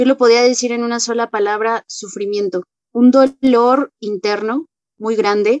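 In a plain, everyday voice, a woman speaks at a fairly slow pace and fairly high pitch with fairly even intonation, the sound dry and close with no echo. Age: 20s. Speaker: AA member. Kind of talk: testimony.

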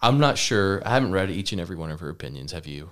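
On a very clean recording with a silent background, a man speaks. He has an American accent and ordinary pitch variation. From Texas, Lubbock. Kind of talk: casual chat.

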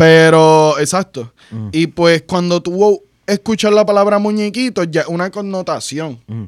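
A man speaks in a high pitch with lively intonation and hardly any pauses. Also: fairly slow pace, dry, close sound with no echo. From Puerto Rico. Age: 30s. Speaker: animator. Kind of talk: casual chat.

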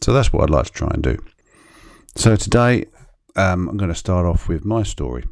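A very deep, low-pitched man's voice with very wide pitch swings, a fairly quick pace and long, frequent pauses, on a very clean recording with a silent background. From southeast England (Kent). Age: 50s. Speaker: podcast host. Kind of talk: solo monologue, personal storytelling. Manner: hesitant, with frequent fillers.

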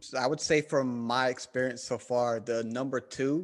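In a very clean recording with a silent background, a man with a Southern US accent talks at a moderate pace, medium in pitch and fairly even in intonation. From US South. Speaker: podcast host guest.

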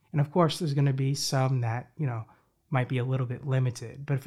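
Somewhat breathy, a man's voice comes across with a dark, mellow tone. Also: very clean recording, silent background. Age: 20s. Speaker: podcast host. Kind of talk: motivational monologue.

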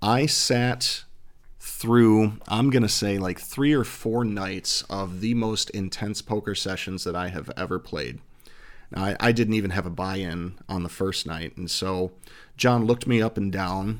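A man with an American accent speaks in a normal speaking voice, fairly low in pitch with ordinary pitch variation, on a very clean recording with a silent background. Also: fairly slow pace. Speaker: fraternity province governor. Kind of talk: casual interview.

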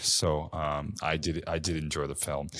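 On a very clean recording with a silent background, a man's voice is heard. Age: 20s. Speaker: podcast co-host. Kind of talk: casual chat.

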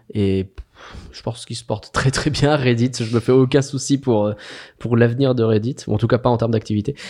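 With a dark, mellow tone, a man talks at a fairly quick pace and keeps a fairly even intonation. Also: medium pitch for a man. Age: 30s. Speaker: social media manager. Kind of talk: casual interview conversation.

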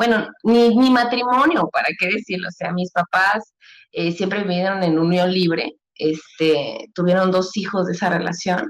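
A woman talks at a fairly slow pace in an ordinary speaking voice. Her pitch is medium, with ordinary pitch variation. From Mexico City. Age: 30s. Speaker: mother, podcast guest. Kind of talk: casual chat.

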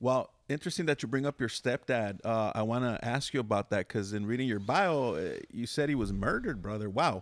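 Lively intonation and a fairly quick pace with hardly any pauses mark this man's plain, everyday voice. The recording is very clean with a silent background and a dry, close sound with no echo. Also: medium pitch for a man. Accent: American. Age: 50s. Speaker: podcast host. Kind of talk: casual interview chat.

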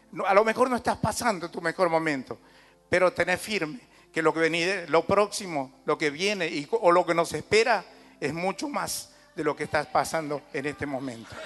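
A man's voice at a moderate pace, with lively intonation and noticeable background noise. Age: 60s. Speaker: pastor. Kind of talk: sermon.

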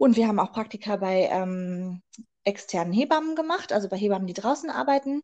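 Her pitch swings very widely around a medium level as the woman speaks at a fairly quick pace. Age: 20s. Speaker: midwife. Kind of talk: interview.

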